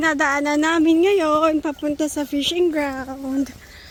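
A woman speaks at an extremely high pitch with fairly even intonation, the sound dry with no echo. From Philippines. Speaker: vlogger. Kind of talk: casual vlog chat. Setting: outdoors by a river. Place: waterside. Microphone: phone near.

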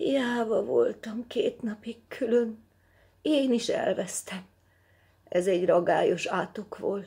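A hoarse, fairly high-pitched, put-on character voice

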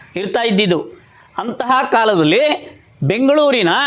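Noticeable background noise and audible room echo surround a man's speech. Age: 70s. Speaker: local social worker, storyteller. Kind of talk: storytelling talk. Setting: outdoors at a memorial.

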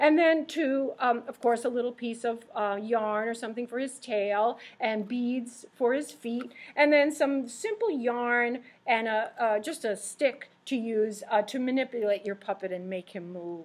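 A woman's high-pitched voice at a fairly slow pace, with ordinary pitch variation. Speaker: presenter. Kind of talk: tutorial. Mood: warm, friendly. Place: classroom. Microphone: webcam.

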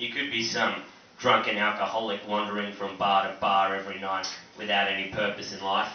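A man speaks at a moderate pace with an Australian accent, his pitch fairly low. The room echo is audible, and there is light background noise. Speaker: stand-up comedian. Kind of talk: stand-up comedy set. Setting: comedy club stage, live audience. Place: stage.

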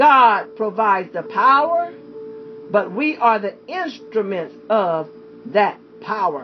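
With music in the background, a woman speaks very slowly at a medium pitch, her voice making very wide pitch swings. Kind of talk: sermon / Bible character study.

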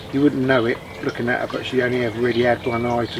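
Noticeable background noise sits behind a man speaking in a flat monotone, the sound dry with no echo. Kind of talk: casual vlog chat. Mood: gentle, sad but positive. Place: garden. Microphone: camera far.

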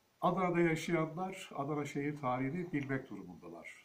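A man talking at a moderate pace. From Turkey, Kadirli (Osmaniye, Çukurova); Turkey. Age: 60s. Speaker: historian and author. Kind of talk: book presentation monologue. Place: home room. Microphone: phone near.

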